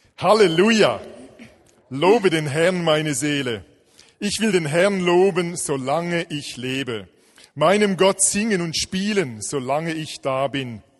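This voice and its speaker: Lively intonation runs through a man's high-pitched voice. He speaks at a very slow pace. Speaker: scripture reader. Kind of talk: reading aloud a psalm.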